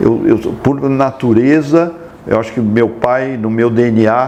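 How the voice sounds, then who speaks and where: Through noticeable background noise, a man speaks at a very slow pace in a medium pitch with fairly even intonation. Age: 60s. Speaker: president of an Italian social club. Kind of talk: interview. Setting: on location at the club. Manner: halting, repeats words.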